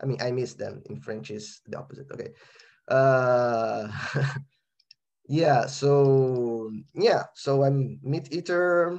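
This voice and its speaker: A man speaks with a Brazilian accent. His pitch sits in the middle range. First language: Portuguese. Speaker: composer. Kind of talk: interview. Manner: halting.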